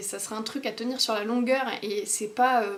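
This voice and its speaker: A woman speaks in a fairly high voice. There is noticeable background noise. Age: 20s. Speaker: vlogger. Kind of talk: casual vlog. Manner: fast; hesitant, many fillers.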